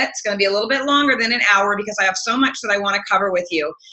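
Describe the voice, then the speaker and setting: An American-accented woman with ordinary pitch variation against noticeable background noise. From US Midwest. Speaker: health coach trainer. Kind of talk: webinar presentation. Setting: online webinar. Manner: fast.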